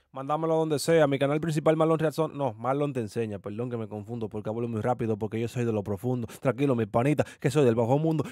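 With a slightly mellow tone, a man talks at a fast pace with few pauses and fairly even intonation. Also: medium pitch for a man.

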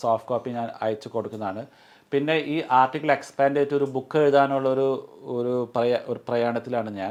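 His intonation fairly even, a man's voice holds at a medium pitch. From UAE, Kerala family. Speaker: engineer and motivational speaker; interviewee. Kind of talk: interview. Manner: halting. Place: home room. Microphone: lapel.

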